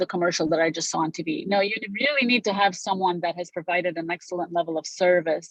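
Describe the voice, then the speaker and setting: Speaking at a moderate pace with a Romanian accent, a woman uses a fairly low pitch and fairly even intonation. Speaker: real estate broker. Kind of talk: interview.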